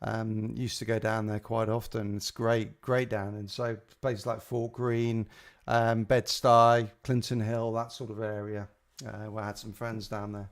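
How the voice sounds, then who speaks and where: At a fairly slow pace, a man speaks at a medium pitch with flat, monotone intonation. The recording is very clean, with a silent background. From England (Liverpool, then south coast and London). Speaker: gaming streamer. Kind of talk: live stream casual chat. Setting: live stream. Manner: halting, many fillers.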